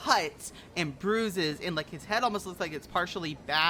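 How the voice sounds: With ordinary pitch variation, the clip offers a natural reading voice.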